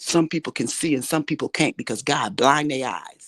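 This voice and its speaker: A woman speaks at a fairly quick pace in an animated tone, her pitch very deep and low. The sound is dry and close with no echo, over a quiet background. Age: 60s. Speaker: show host. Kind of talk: impassioned interview talk.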